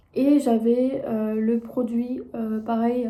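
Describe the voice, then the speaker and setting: This woman's voice is fairly high-pitched, with a dark, mellow tone and a flat, monotone delivery. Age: 20s. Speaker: content creator and entrepreneur. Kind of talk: casual talk to camera.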